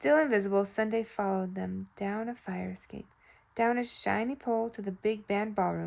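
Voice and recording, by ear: The voice sounds natural. It reads the text aloud.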